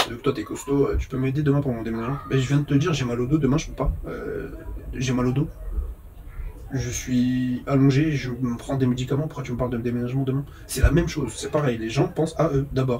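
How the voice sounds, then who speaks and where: A man at medium pitch, fairly quick pace and fairly even intonation, with noticeable background noise. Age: 30s. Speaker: vlogger, phone repairer. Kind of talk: casual monologue vlog.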